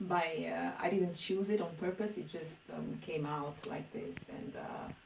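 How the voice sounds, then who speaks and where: A woman with a Romanian accent at a moderate pace, with audible room echo. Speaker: poet. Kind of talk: interview. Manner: halting.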